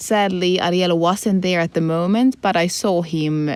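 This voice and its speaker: Speaking with a Swedish accent, a woman talks at a fairly slow pace in a fairly low pitch. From Finland. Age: 20s. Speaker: podcast co-host. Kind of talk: casual chat.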